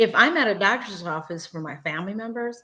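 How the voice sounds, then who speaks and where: Delivered at a fairly quick pace, the speech carries lively intonation and a Spanish accent. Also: woman. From Mexico, then Gary, Indiana. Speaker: community leader and interpreter. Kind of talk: interview. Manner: animated.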